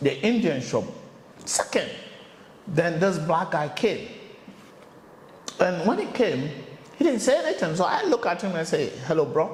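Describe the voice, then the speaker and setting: With an African accent, a man with a high pitch and lively intonation speaks at a fairly slow pace, taking long, frequent pauses amid noticeable background noise and audible room echo. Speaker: interviewer, channel host. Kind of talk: casual interview chat.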